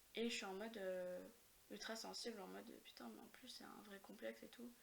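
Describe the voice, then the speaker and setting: A woman talks at a medium pitch while noticeable background noise runs behind her. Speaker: podcast guest. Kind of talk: casual chat.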